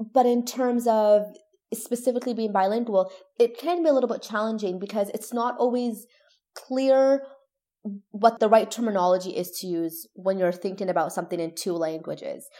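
An ordinary speaking voice in a Canadian accent, at a moderate pace with ordinary pitch variation. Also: woman, fairly high pitch for a woman. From Toronto, Canada. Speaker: neuroscience PhD student and science communicator. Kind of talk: interview conversation.

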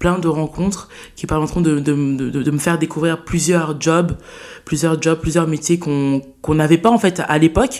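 This woman speaks at a fairly slow pace with a very deep, low pitch and fairly even intonation. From France, Saint-Denis (Paris suburbs). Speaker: student and eloquence contest winner. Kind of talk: interview conversation.

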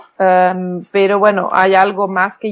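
A woman speaks very slowly in a Flemish accent, at a medium pitch with monotone, flat intonation. The recording is very clean, with a silent background. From Belgium, Flemish-speaking. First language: Flemish (speaking Spanish). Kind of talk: interview.

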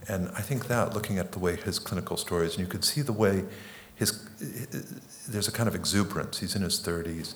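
In a room with audible echo, a man talks fairly quickly at a fairly low pitch with ordinary pitch variation. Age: 60s. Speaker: psychoanalyst and author. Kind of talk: on-stage interview.

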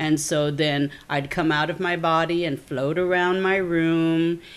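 This woman's voice sits at a fairly low pitch. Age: 50s. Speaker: psychic healer and fair founder. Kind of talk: casual interview chat. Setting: home.

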